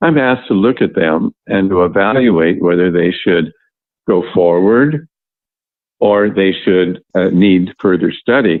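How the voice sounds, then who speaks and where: This man has a very deep, low pitch and ordinary pitch variation, speaking at a fairly slow pace with very even loudness. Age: 80s+. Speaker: yoga teacher. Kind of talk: interview.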